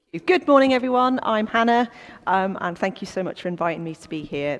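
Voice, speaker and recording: The speaker moves at a fairly quick pace with very wide pitch swings. Noticeable background noise runs underneath. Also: woman. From North Wales. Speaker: business owner, former history teacher. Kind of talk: church talk. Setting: church coffee morning with audience. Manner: animated.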